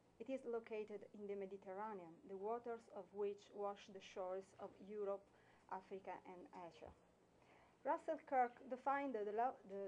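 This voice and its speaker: A woman with an Italian accent speaks at a moderate pace in a fairly high voice, with ordinary pitch variation. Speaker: lawyer. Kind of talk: prepared speech read from notes. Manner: halting.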